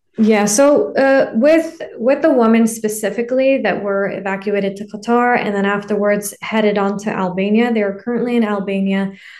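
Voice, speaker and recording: Using an ordinary speaking voice, a woman with a Canadian accent talks at a moderate pace and a fairly high pitch, with ordinary pitch variation. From Canada (Ontario, Toronto area). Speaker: professional footballer. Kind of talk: interview.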